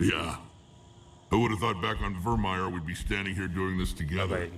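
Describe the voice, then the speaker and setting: A man's put-on character voice, very deep and low in pitch, with ordinary pitch variation at a moderate pace over clear background noise. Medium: video game. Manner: gruff, dry humor.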